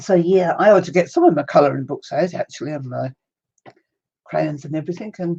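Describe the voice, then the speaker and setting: A woman with a New Zealand accent speaks at a fairly quick pace in a fairly low pitch, her tone dark and mellow with ordinary pitch variation. Her loudness swings widely, and she leaves long, frequent pauses. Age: 70s. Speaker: crafting livestreamer. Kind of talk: casual livestream chat.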